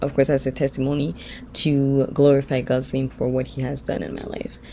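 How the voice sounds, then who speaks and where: Noticeable noise sits in the background. The talking is fairly quick. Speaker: vlogger. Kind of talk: testimony. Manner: casual, hesitant with fillers.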